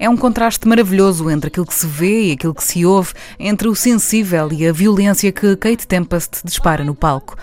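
This woman talks at a very fast pace. Her pitch is fairly low. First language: Portuguese. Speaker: radio presenter. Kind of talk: scripted narration.

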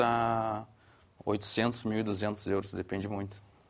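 This man talks with a fairly low pitch and monotone, flat intonation. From southern Brazil, Porto Alegre. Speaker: surfboard company director. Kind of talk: studio discussion.

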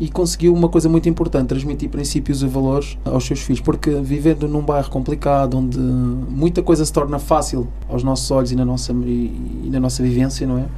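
The speech moves at a fairly quick pace with hardly any pauses, with audible room echo and noticeable background noise. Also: man. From Almada, Portugal (Cape Verdean parents). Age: 40s. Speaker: airline pilot. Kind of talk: interview testimony. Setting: radio studio.

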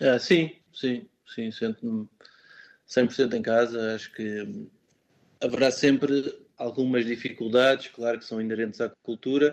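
Pausing long and often, a man of medium pitch speaks with ordinary pitch variation and big swings in loudness. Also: fairly slow pace. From Portugal, Alverca do Ribatejo. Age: 30s. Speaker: musician and language teacher. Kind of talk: interview. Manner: hesitant, many fillers.

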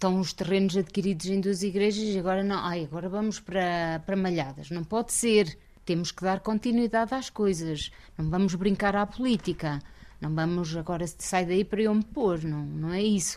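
A woman has an unremarkable speaking voice of medium pitch. She talks at a moderate pace with ordinary pitch variation. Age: 50s. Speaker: local election candidate. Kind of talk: interview.

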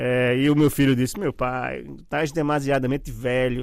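Speaking in an ordinary speaking voice, a man keeps to a moderate pace. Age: 50s. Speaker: journalist and writer. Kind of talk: casual interview chat.

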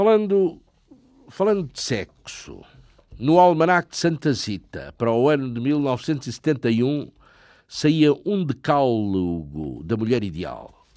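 A man speaks very slowly in a dark, mellow tone with very wide pitch swings. The recording is very clean, with a silent background. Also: medium pitch for a man, big swings in loudness. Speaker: radio host. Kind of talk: scripted narration.

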